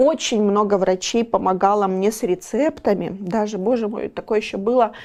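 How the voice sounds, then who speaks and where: Her voice has a dark, mellow tone. The woman's pitch moves with ordinary variation. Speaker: volunteer and business owner. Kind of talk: interview. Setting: studio.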